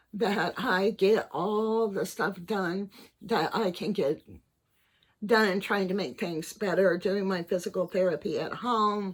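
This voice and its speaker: A woman at medium pitch with ordinary pitch variation, at a very slow pace. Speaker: vlogger with Parkinson's disease. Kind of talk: personal vlog monologue. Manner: halting, with struggle; hesitant with fillers and repeats.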